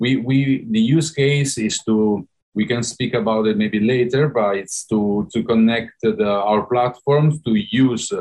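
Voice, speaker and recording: A man speaks with an Italian accent. His voice sits at medium pitch with ordinary variation. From Italy. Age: 30s. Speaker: startup CEO. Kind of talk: interview. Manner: halting, many fillers.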